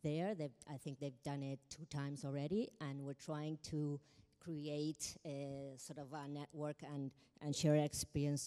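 A woman speaks with a very deep, low pitch and monotone, flat intonation. The background is quiet. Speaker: keynote speaker. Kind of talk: conference keynote talk. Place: hall. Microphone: handheld.

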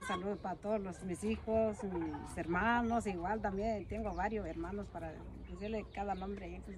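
Background noise is clearly noticeable. Over it, a woman talks at an even, moderate speed. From Mexico, Oaxaca (Mixtec highlands); Oaxaca, Mexico. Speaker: farmer. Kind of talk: casual chat. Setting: outdoors. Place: garden. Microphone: phone near.

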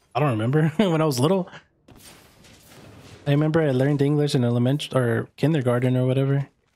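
In a Spanish accent, the voice runs at a very fast pace with long, frequent pauses. Its tone is dark and mellow, with fairly even intonation and very even loudness. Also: man, fairly high pitch for a man. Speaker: gaming streamer. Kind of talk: live gameplay stream chat. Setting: live stream. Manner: casual.

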